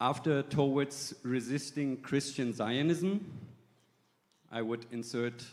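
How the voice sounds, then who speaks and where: In a German accent, a man speaks very slowly with long, frequent pauses. His voice is fairly high, with ordinary pitch variation. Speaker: church delegate. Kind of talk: assembly floor speech.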